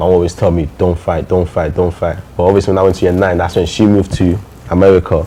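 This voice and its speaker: Through noticeable background noise, a man with a very deep, low pitch talks at a very fast pace in monotone, flat intonation. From Nigeria, then Birmingham and London from about age 9. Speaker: interview guest. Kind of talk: interview. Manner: casual, repetitive phrasing.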